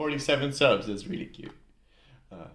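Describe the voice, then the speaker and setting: A man talks at a very fast pace with lively intonation, and audible room echo surrounds his voice. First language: Dutch. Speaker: YouTuber, music reactor. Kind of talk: casual reaction video commentary. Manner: casual, hesitant with fillers.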